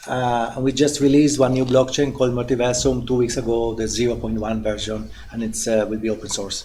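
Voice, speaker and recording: In an Italian accent, a man at a medium pitch talks at a fairly quick pace with hardly any pauses and a monotone, flat intonation, with audible room echo and noticeable background noise. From Italy. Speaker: NGO leader. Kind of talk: self-introduction in workshop.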